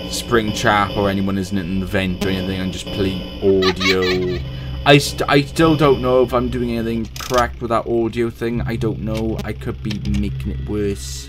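Clear music plays in the background. Over it, a man with a very deep, low pitch talks at a moderate pace. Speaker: gaming video creator. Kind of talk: gameplay commentary. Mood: casual, sometimes tense. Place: home room.

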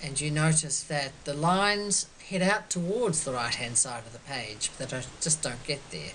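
Speaking in an Australian accent with a very deep, low pitch, a woman keeps a moderate pace with lively intonation and hardly any pauses over light background noise. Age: 70s. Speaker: quilt artist. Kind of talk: artist talk. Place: home room. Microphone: webcam.

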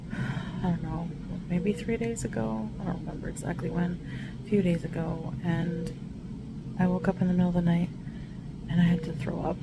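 Over loud background noise, a woman speaks in a tired tone at a moderate pace, with ordinary pitch variation and long, frequent pauses. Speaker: vlogger. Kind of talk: casual vlog chat. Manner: weak, tired voice of sick woman. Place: home room. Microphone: phone near.

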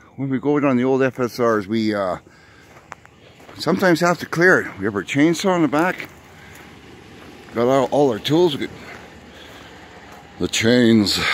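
With lively intonation and long, frequent pauses, a man talks at a moderate pace in a dry recording with no echo and light background noise. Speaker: outdoors vlogger. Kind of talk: casual vlog chat. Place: forest. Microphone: phone near.

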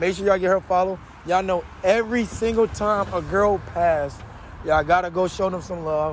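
A man with a high pitch talks at a fairly quick pace, the sound dry with no echo and light background noise present. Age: 20s. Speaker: prank video creator. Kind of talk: street prank interview. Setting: outdoors. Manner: animated. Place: street.

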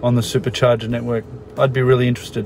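A man's dry, echo-free voice with faint music in the background. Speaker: vlogger. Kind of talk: casual vlog chat. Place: car.

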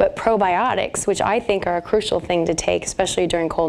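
Light background noise runs under a fairly quick delivery with ordinary pitch variation. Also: woman. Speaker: naturopathic doctor. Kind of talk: radio interview answer. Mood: warm, friendly.

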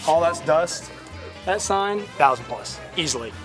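Clear music sits in the background as a man speaks at a moderate pace. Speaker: member of auction crew, Braxton's son. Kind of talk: casual talk to camera. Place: garden.

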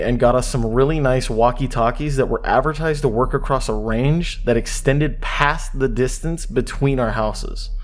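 Noticeable background noise fills the clip. Through it, a man's words come at a moderate pace. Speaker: creepypasta narrator. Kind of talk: horror story narration, reading a first-person creepypasta aloud. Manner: casual and friendly at the outro.

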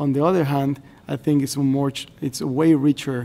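A man speaks in a fairly high pitch with a Spanish accent. His tone is dark and mellow, and his intonation stays monotone and flat. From Mexico. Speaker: government representative of host country. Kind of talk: formal meeting remarks. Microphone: podium.

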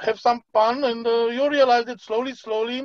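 The man's voice is high-pitched and his pace moderate, recorded dry with no echo over a quiet background. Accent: Romanian. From Romania. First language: Romanian. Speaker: crypto platform team leader. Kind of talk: online presentation. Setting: video call. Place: home room. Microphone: video call.

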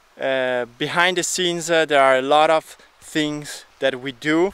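A man's fairly slow speech, dry with no echo. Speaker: vlogger. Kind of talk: casual vlog chat. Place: garden. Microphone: phone near.

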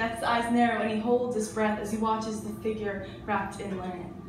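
Her voice is fairly high, and the woman speaks in a flat monotone. Room echo and background noise are both noticeable. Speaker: spoken word performer. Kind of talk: spoken word poetry performance. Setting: live venue. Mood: hushed, dramatic storytelling. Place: cafe.

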